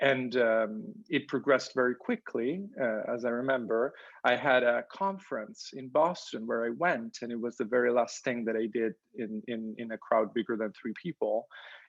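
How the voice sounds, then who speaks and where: A man with an Italian accent speaks at a moderate pace. His medium pitch shows ordinary variation. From Italy. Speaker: professor. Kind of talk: interview. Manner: halting, many fillers and repeats.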